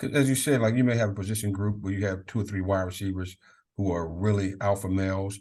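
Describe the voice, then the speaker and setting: A man with an American accent and a fairly low pitch talks at a very fast pace. His intonation is fairly even, and the background is quiet. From Maryland, Prince George's County. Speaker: college football leadership coach, former Marine. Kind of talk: podcast interview.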